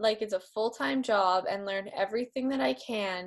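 Against a quiet background, a woman speaks fairly slowly with lively intonation. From Canada, rural Manitoba. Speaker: personal development facilitator. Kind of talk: interview. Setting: video call. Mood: warm, enthusiastic. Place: home room. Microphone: video call.

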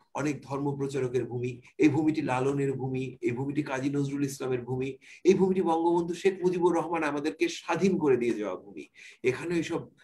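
A man's somewhat breathy voice with a dark, mellow tone and ordinary pitch variation. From Bangladesh, Pabna; Bangladesh. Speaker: journalist. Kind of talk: panel discussion. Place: home room. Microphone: video call.

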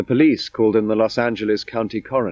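In a dry, close sound with no echo, a man with a dark, mellow tone and medium pitch talks at a fairly quick pace. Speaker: documentary narrator. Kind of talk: scripted narration.

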